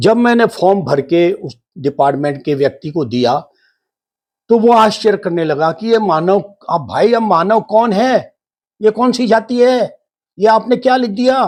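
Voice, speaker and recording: Lively intonation marks a man's high-pitched voice over a quiet background. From Rajasthan, India. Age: 70s. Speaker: spiritual teacher. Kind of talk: monologue talk.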